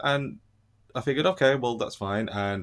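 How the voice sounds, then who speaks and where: A man with a British accent, lively intonation and a fairly quick pace, in a very clean recording with a silent background. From Britain. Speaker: former English teacher abroad. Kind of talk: casual chat.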